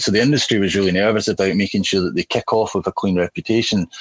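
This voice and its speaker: The voice has a Scottish accent and a dry, close sound with no echo. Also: man. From Glasgow, Scotland. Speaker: army veteran and salesperson. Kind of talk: casual interview. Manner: enunciating carefully, relaxed.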